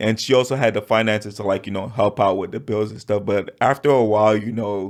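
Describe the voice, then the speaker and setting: A man speaks with an American accent at a fairly quick pace and fairly low pitch. The recording is very clean, with a silent background. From Miami, Florida. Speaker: accountant, immigrant guest. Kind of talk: podcast interview. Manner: casual, filler-heavy.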